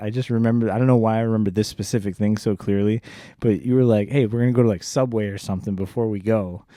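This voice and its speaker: With a Chicago accent, a man speaks at a very fast pace in a dark, mellow tone over a very clean recording with a silent background. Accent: Chicago-area American. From US Midwest, Joliet, Illinois. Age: 40s. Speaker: podcast host. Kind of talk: casual chat.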